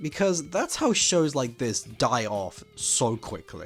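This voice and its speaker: The man's pitch swings very widely. Music sounds behind him. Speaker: animation commentary youtuber. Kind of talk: casual commentary to camera.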